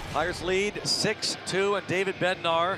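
An excited tone comes through over music in the background. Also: man. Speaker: baseball play-by-play announcer. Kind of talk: live sports commentary. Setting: ballpark broadcast highlights. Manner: animated, punchy play-by-play calls; excited, rising on big moments.

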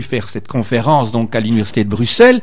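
A fairly quick pace carries the speech. The speaker is a man. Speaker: radio host. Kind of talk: radio interview. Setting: studio. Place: studio.

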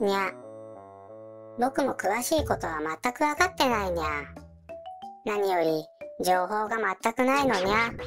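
Over clear background music, a put-on character voice that sounds female speaks at a medium pitch and a moderate pace, leaving long, frequent pauses. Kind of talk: cute mascot character voice. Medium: audio drama. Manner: cutesy, adds a meow sound to sentence ends.

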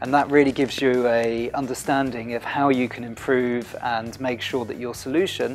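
Over faint music in the background, a man speaks at a moderate pace in a monotone, flat intonation with hardly any pauses. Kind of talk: interview answer. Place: office.

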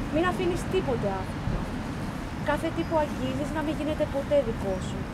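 Loud background noise runs under speech delivered at a fairly quick pace. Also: woman. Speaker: poet. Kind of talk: poem performed in Greek. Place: forest. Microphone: camera far.

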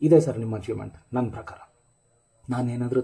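A man speaks at medium pitch in a dark, mellow tone. His voice is somewhat breathy. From North Karnataka, India (Ballari). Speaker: struggling actor, video blogger. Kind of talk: video monologue addressing a director. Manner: animated.

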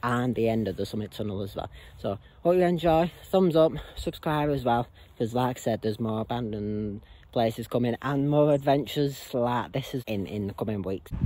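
Lively intonation runs through speech at a fairly quick pace. The sound is dry, with no echo. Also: man. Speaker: explorer vlogger. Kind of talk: casual vlog chat. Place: open country. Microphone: phone near.

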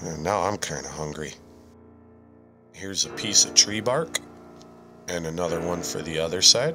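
Over background music, a man with a very deep, low voice speaks at a moderate pace with long, frequent pauses, ordinary pitch variation and big swings in loudness. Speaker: terrarium hobbyist. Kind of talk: voice-over narration.

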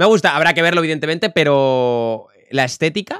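There is no echo in this dry sound, and the background stays quiet. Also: man. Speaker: streamer. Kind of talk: casual reaction commentary. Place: home room.

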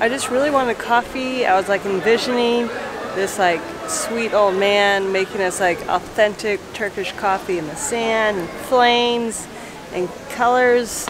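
Speaking at a fairly slow pace and medium pitch, a woman is heard over clear background noise. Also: ordinary pitch variation.

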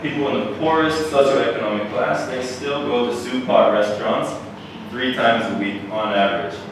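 A man speaks at a moderate pace with ordinary pitch variation. Strong room echo and noticeable background noise surround him. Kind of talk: lecture. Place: hall.

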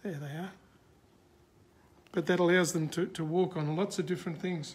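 A man talks at a fairly quick pace. His pitch is high. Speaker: presenter. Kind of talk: explanatory commentary to live viewers. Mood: warm, gentle. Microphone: phone near.

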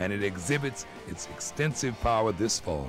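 A man with a fairly low pitch speaks at a moderate pace, his pitch swinging very widely. Music plays in the background. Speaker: singer. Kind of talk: promotional video spokesman read. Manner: cheerful.

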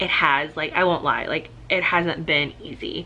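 A woman's voice sits at a fairly low pitch and has a bright, sharp tone. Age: 30s. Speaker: vlogger. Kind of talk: casual vlog. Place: home room. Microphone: phone near.

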